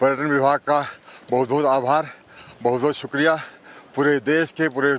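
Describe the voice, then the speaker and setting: Over noticeable background noise, a man with a fairly high voice speaks in a flat monotone at a moderate pace, the sound dry and close with no echo. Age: 60s. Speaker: government adviser and runner. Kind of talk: interview.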